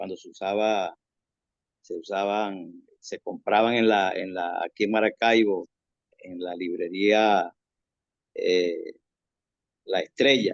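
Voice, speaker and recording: Speaking very slowly, a man leaves long, frequent pauses, and his loudness swings widely. The sound is dry and close with no echo. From Venezuela, Zulia (Mene Grande). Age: 60s. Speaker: prison ministry worker. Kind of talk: testimony. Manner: halting, with frequent repetitions.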